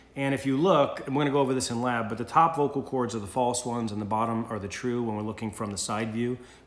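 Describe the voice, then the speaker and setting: Talking at a very fast pace with hardly any pauses, a man keeps a medium pitch with ordinary variation, amid audible room echo and noticeable background noise. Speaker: college instructor. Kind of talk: recorded lecture. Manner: loud; casual, halting with fillers.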